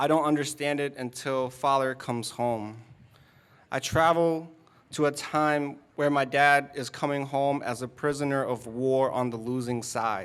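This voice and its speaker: Using a plain, everyday voice with an American accent, a man speaks at a fairly slow pace, his pitch fairly high and his intonation fairly even. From Dorchester, Boston. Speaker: spoken word poet. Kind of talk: spoken word poetry performance.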